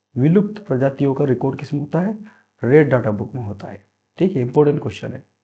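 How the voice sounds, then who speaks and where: Somewhat breathy and dark, mellow in tone, a man's voice rises and falls with lively intonation. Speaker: quiz teacher. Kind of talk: tutorial. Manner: repetitive, emphatic teaching style.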